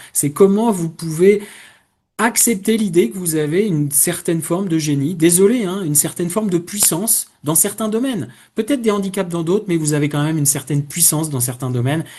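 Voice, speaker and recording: With a dark, mellow tone and a high pitch, a man talks at a fairly quick pace with lively intonation. The background is quiet. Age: 60s. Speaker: career coach. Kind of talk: webinar presentation. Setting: online webinar. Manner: hesitant, many fillers.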